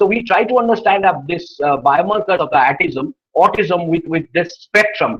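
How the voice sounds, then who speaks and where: A man with a high-pitched voice talks with lively intonation and hardly any pauses. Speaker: anthropology professor, invited speaker. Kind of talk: academic webinar lecture. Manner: fast, hurried.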